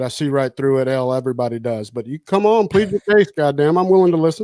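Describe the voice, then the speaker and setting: With a Southern US accent, a man talks at a fairly high pitch with ordinary pitch variation, in a very clean, dry, close recording with a silent background and no echo. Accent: Southern drawl. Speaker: podcast host. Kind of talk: casual chat.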